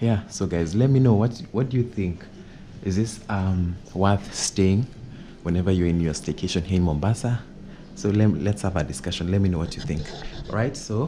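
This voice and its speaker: Noticeable background noise sits behind a man speaking at a moderate pace. His tone is dark and mellow, his pitch fairly low, with ordinary pitch variation. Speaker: vlogger giving an apartment tour. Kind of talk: casual vlog chat. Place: home room. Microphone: phone near.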